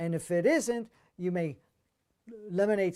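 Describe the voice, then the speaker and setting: In a very clean recording with a silent background, a man speaks at a fairly slow pace in a high voice with lively intonation. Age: 60s. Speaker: spiritual teacher. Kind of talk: Q&A talk. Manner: halting.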